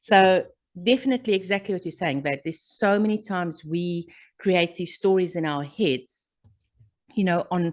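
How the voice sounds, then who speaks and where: Against a quiet background, a woman with a strong South African accent speaks at a moderate pace, her fairly low pitch showing ordinary variation. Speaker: podcast co-host. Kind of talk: casual chat.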